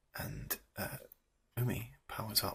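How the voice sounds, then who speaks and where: A soft-spoken man whispers in a British accent, his tone gentle. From England. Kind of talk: ASMR show and tell. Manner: soft-spoken, whispery, gentle.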